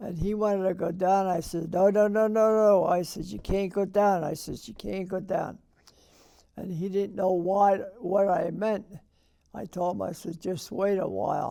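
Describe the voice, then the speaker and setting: An American-accented man with a high pitch and a dark, mellow tone speaks at a moderate pace in a monotone, flat intonation. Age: 80s+. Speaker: war veteran. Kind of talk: interview answer.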